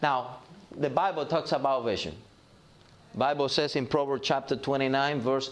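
Audible room echo surrounds the speaker. He is a man with a fairly high pitch. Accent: slight Cuban. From Cuba. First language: Spanish. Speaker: pastor. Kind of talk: sermon. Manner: halting.

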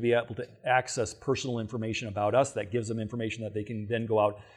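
This man talks at a very fast pace with an American accent. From Michigan. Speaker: financial seminar speaker. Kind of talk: seminar lecture.

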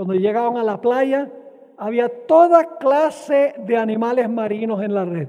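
Very slow speech with lively intonation. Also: man. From Venezuela. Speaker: preacher. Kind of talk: sermon.

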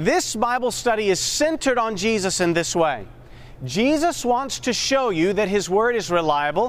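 A man's high-pitched voice with very wide pitch swings and very even loudness, at a moderate pace, in audible room echo. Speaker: Bible study instructor. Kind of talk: interactive Bible class lecture. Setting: classroom with live audience. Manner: animated, call-and-response questioning.

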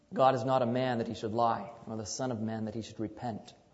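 A man speaks in a somewhat breathy voice. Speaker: preacher. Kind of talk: sermon to a congregation, Bible teaching with prayer. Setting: church. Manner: conversational and unhurried, with small hesitations and 'um' fillers; warm, inviting, calls for congregational 'amen' replies.

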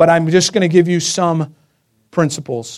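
A man speaks with a high pitch. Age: 30s. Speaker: preacher. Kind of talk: sermon.

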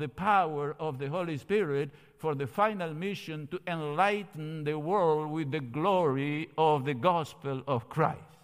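Speaking with a Spanish accent at a fairly slow pace, a man with a fairly high pitch and lively intonation comes through on a very clean recording with a silent background. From Argentina, Cordoba. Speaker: theology professor. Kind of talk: seminar lecture. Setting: church sanctuary, streamed.

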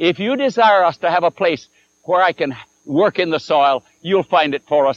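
The recording sounds dry and close, with no echo. A man talks in a high voice. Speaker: preacher. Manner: conversational, with dramatic pauses before punchlines like 'he couldn't answer that'.

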